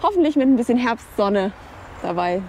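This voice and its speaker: The sound is dry with no echo as a woman speaks over light background noise. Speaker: travel vlogger. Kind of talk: casual vlog chat. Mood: cheerful, excited. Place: waterside. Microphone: lapel.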